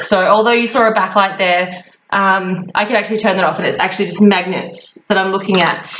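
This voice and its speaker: This is a woman's voice. She speaks in an Australian accent. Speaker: travel vlogger. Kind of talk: casual tutorial. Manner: fast; animated.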